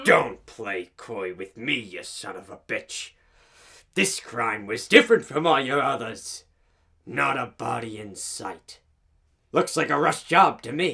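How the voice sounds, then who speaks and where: A cartoonish character voice at a fairly slow pace. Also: man, medium pitch for a man. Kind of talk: noir detective narration. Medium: puppet. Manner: gruff, aggressive.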